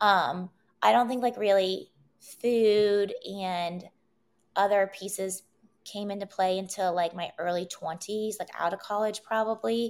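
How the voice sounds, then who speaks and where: A woman with an American accent talks in an unremarkable speaking voice at a fairly slow pace, her intonation fairly even. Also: medium pitch for a woman. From West Virginia, Wheeling. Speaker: entrepreneur, wellness event organizer. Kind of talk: casual interview.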